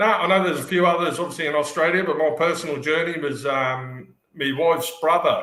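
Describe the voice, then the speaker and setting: The man's tone is bright and sharp, with ordinary pitch variation. He talks at a fairly quick pace amid audible room echo. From southern England, Poole, Dorset. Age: 50s. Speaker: football fan. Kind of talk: casual chat.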